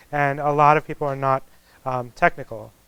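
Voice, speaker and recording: A man's fairly high voice at a moderate pace, on a very clean recording with a silent background. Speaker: technologist giving a talk. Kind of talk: lecture. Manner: soft-spoken; informal, hesitant with fillers.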